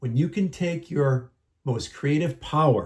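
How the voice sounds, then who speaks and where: A man speaks at a fairly slow pace in a somewhat breathy voice, his tone passionate and animated, with ordinary pitch variation on a very clean recording against a silent background. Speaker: mental health motivational YouTuber. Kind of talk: motivational monologue. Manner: passionate, animated.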